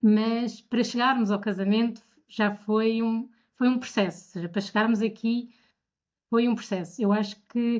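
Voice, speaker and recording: Woman at a fairly high pitch and moderate pace, with monotone, flat intonation. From Portugal, Bombarral. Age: 30s. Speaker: bride, podcast guest. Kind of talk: casual interview.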